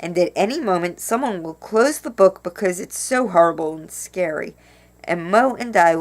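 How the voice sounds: Reading voice, natural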